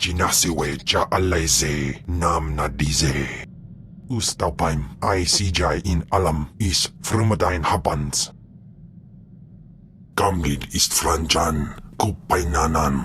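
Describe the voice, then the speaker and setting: Using a put-on character voice, a man speaks very slowly at a very deep, low pitch while clear background noise runs underneath. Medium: video game.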